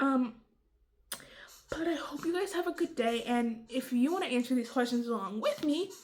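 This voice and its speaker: A woman's high, mumbling voice at a moderate pace with ordinary pitch variation. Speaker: beauty and vlog YouTuber. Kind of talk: casual Q&A vlog. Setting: at home. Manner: quiet.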